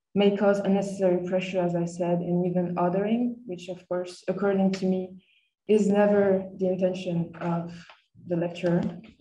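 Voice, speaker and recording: A woman with a French accent speaks at a medium pitch and moderate pace, somewhat breathy and dark, mellow in tone. Her intonation is monotone and flat, and audible room echo is present. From France. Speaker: master's student. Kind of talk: seminar presentation. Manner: hesitant, with frequent fillers.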